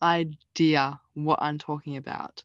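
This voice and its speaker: Against a quiet background, a woman speaks with an Australian accent. Her intonation stays fairly even. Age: 20s. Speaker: university student. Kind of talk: interview.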